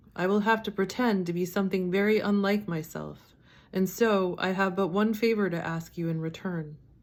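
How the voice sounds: Natural voice for reading aloud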